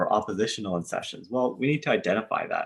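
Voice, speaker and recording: A man has an ordinary speaking voice with ordinary pitch variation and a fairly quick pace. The recording is very clean, with a silent background. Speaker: social work instructor. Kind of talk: lecture.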